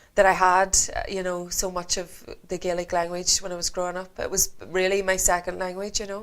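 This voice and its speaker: A woman with a Northern Irish accent talks at a fairly quick pace with hardly any pauses. Her medium-pitched voice stays monotone and flat. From Northern Ireland, County Antrim. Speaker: singer. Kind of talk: interview.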